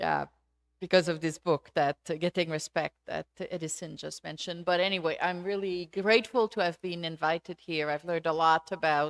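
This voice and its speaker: A woman with a Quebec accent speaks with fairly even intonation in a very clean recording, with a silent background and a dry, close sound with no echo. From Quebec, Canada. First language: French. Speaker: sociology professor. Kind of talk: lecture. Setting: auditorium with audience. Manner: halting.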